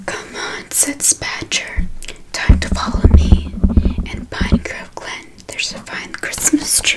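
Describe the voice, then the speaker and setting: Loud background noise surrounds the recording. A soft-spoken woman talks at a very slow pace. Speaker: storyteller reading aloud. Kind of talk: soft bedtime story reading. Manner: soft close-mic ASMR reading voice. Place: home room. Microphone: studio mic.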